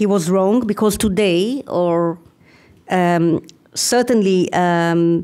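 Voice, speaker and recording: In an Israeli accent, a woman speaks with a dark, mellow tone. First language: Hebrew. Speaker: university professor, conference speaker. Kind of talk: academic lecture.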